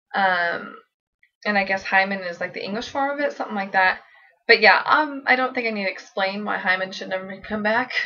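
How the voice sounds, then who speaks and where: A woman talks at a fairly quick pace with a bright, sharp tone. Her loudness swings widely, while her pitch varies in an ordinary way. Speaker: vlogger. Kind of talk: casual vlog, partly pre-written answers. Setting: seated in a squeaky chair at home. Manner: stutter.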